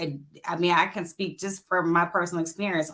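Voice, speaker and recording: The speaker is a woman with an Alabama accent. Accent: Southern US (Alabama). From US South, Montgomery, Alabama. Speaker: panelist. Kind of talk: panel discussion.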